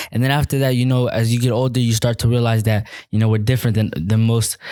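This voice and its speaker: A man talks at a very fast pace in a flat monotone, his medium-pitched voice dark and mellow, with an American accent. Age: 20s. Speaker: activist and student. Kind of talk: interview.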